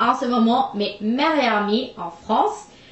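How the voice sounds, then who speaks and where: With an American accent, a woman speaks at a very slow pace and a fairly high pitch with ordinary pitch variation, amid audible room echo and noticeable background noise. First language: English (speaking French). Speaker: vlogger. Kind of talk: casual chat. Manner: halting, many hesitations.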